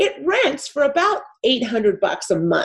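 Very slow speech from a woman with an American accent. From Los Angeles, California. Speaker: real estate investor. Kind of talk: interview.

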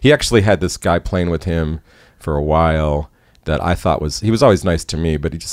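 A man's very deep, low voice with an American accent, at a very fast pace with ordinary pitch variation, in a dry, close sound with no echo. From Chicago area, US. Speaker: concert photographer and former musician. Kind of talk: casual interview storytelling.

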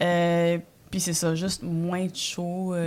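On a very clean recording with a silent background, a woman speaks in a fairly low pitch. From Quebec, Montreal (arrived from El Salvador at age 5). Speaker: comedian. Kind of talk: casual chat.

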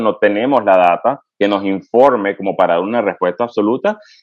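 A man rattles along at a very fast pace, his intonation lively. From Venezuela. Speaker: pediatric infectious disease physician and researcher. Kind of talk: interview. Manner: halting, with frequent fillers.

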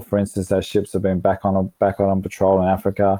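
The man has an Australian accent, a fairly low pitch and a moderate pace. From Melbourne, Australia. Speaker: environmental charity director. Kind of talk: interview. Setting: remote call.

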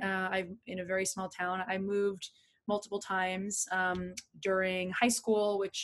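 At a fairly slow pace, a woman with a medium pitch talks in an ordinary speaking voice. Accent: American. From New Jersey, New York. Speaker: podcast guest; entrepreneur, former teacher.

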